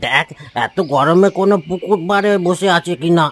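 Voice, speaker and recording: In a cartoonish character voice, a man speaks at a high pitch and moderate pace with ordinary pitch variation, the sound dry and close with no echo. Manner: gentle, moralizing.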